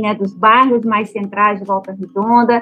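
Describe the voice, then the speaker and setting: In a normal speaking voice, a woman talks at a fairly high pitch with fairly even intonation. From Minas Gerais, Brazil. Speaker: architect and urbanist, memory researcher. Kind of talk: podcast interview.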